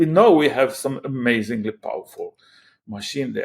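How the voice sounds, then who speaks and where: At a moderate pace, a man with a Croatian accent speaks with very wide pitch swings. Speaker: AI startup founder. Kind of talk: interview. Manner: halting, many repetitions.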